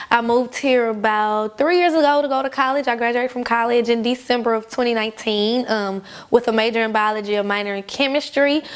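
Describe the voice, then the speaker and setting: Her pitch fairly high and her intonation fairly even, a woman talks at a very fast pace. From Louisiana, Baton Rouge. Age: 20s. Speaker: singer. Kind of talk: casual chat. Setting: eating a meal on camera.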